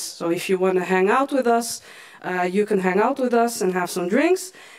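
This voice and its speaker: Noticeable background noise fills the clip. Through it, a woman speaks. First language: Moroccan Tamazight (Berber), then Dutch. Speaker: event moderator. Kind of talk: event moderation. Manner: halting.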